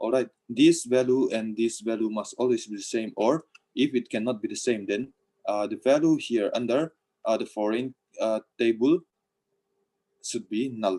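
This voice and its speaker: A man's dark, mellow, medium-pitched voice, with ordinary pitch variation and long, frequent pauses, in a dry, close sound with no echo. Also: moderate pace. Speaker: college lecturer. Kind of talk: lecture.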